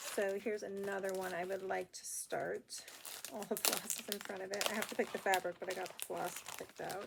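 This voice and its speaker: A woman talks at a fairly quick pace in a monotone, flat voice. Noticeable background noise runs beneath her. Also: medium pitch for a woman. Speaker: cross stitch video blogger. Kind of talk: casual chat.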